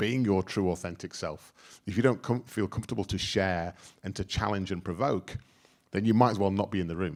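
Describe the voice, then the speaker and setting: Recorded very cleanly against a silent background, a man talks at a fairly quick pace with ordinary pitch variation. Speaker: workplace futurist, speaker. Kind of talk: workshop talk. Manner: loud; animated.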